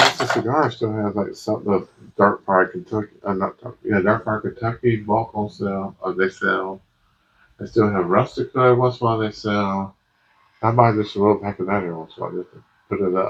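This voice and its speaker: Light background noise sits behind a man speaking at a fairly low pitch with fairly even intonation. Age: 50s. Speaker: pipe smoking YouTuber. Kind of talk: casual monologue review. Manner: rambling, halting; relaxed. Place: home room.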